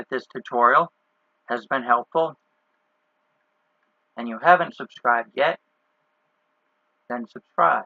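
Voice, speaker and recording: A man's bright, sharp voice, with big swings in loudness and long, frequent pauses, comes across dry and close with no echo. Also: medium pitch for a man, lively intonation, fairly slow pace. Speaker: game development tutorial creator. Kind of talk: tutorial. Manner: casual, conversational.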